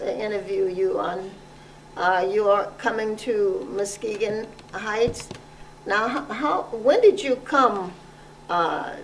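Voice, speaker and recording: A woman speaks very slowly at a medium pitch with ordinary pitch variation, over noticeable background noise. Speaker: interviewer. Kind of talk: oral history interview questions.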